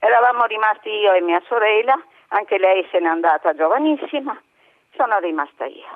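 A woman speaks at a moderate pace in a medium pitch. Her pitch swings very widely. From Trieste, Italy. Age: 80s+. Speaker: caller. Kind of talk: testimony. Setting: phone call.

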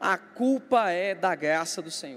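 A man is speaking. His pitch is high. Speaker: pastor. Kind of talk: sermon.

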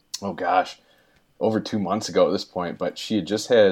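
A man with a fairly low pitch speaks fairly quickly in a normal speaking voice with ordinary pitch variation. The recording is very clean and the background silent. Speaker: guest podcaster. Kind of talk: casual chat.

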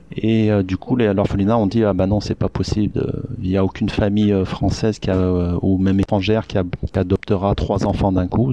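Speaking at a moderate pace, a man with a fairly low pitch and a dark, mellow tone keeps his intonation monotone and flat. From France, Isère (rural, near Lyon). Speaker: Korean adoptee, blogger. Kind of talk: interview testimony. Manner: hesitant, many fillers. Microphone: crackling sound during interview.

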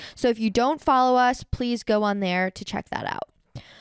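Dry and close with no echo, this woman's normal speaking voice sits at a fairly high pitch and carries lively intonation. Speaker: granddaughter podcast host. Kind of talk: casual chat.

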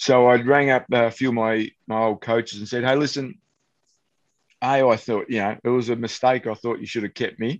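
Over a quiet background, a man with an Australian accent speaks at a fairly quick pace. His pitch is medium and his intonation fairly even. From country Victoria, Australia. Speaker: former footballer and kicking coach. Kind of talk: casual interview.

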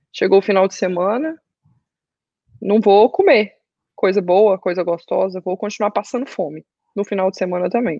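Dry and close with no echo, a woman's voice keeps a moderate pace. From Brazil, Goiânia. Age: 20s. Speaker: fitness client sharing weight-loss story. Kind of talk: testimony.

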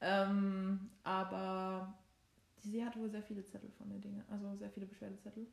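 A somewhat breathy voice at a moderate pace, with monotone, flat intonation. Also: woman, medium pitch for a woman. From Saxony, Germany. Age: 22. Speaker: law student, podcast co-host. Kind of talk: casual chat. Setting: sitting on a bed at home.

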